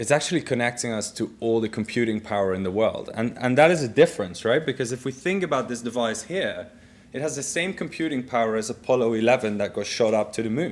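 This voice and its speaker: Speaking at a very fast pace with hardly any pauses, a man talks in a Dutch accent. His pitch is medium, with ordinary pitch variation. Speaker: business executive, keynote speaker. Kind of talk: keynote speech with live demo. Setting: conference stage with audience.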